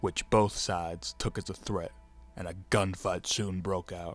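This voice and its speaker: A man speaks at a fairly slow pace in a fairly low pitch with monotone, flat intonation while music plays in the background. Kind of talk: western history narration.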